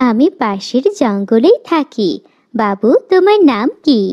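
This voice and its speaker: A female-sounding voice does a cartoonish character at high pitch. The pace is fairly slow. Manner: sweet, coaxing.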